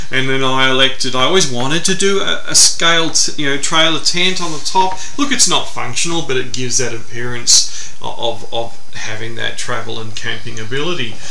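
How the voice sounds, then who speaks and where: Over light background noise and audible room echo, a man speaks at a moderate pace with hardly any pauses. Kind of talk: interview answer. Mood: relaxed, enthusiastic. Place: home room. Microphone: camera far.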